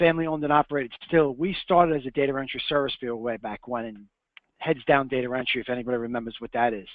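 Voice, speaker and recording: A man with a New York accent, a very fast pace, and big swings in loudness. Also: medium pitch for a man, ordinary pitch variation. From Long Island, New York. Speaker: print business owner. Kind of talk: webinar presentation. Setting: webinar.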